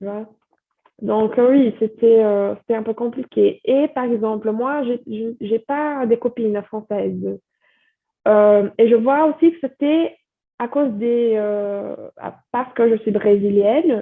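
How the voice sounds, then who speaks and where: Speech at a very slow pace shows ordinary pitch variation and big swings in loudness. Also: woman, fairly high pitch for a woman. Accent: Brazilian. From Brazil. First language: Portuguese (speaking French). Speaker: French teacher and content creator. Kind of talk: podcast interview. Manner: hesitant, many fillers.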